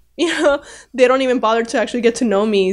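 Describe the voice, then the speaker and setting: A woman's voice with ordinary pitch variation on a very clean recording against a silent background. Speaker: podcast host and comedian. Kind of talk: solo podcast monologue. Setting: home recording, drinking wine. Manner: casual, filler-heavy, halting; not loud, naturally low-energy.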